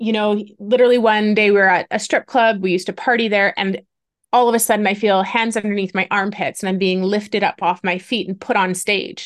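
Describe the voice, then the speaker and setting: Speaking fairly quickly with a Canadian accent, a woman has an unremarkable speaking voice at medium pitch with fairly even intonation. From Ontario, Canada. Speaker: activist and trafficking survivor. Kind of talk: interview testimony.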